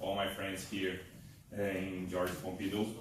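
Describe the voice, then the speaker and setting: A man speaks fairly slowly in a room with audible echo and noticeable background noise. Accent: Portuguese. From Brazil, Pará (Belém). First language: Portuguese. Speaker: thoracic surgeon. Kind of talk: conference talk. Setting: lecture hall with audience. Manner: halting, with many fillers.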